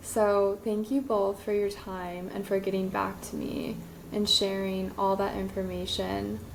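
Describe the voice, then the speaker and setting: A woman speaks at a fairly slow pace. Audible room echo and noticeable background noise come through. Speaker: podcast host. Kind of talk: interview.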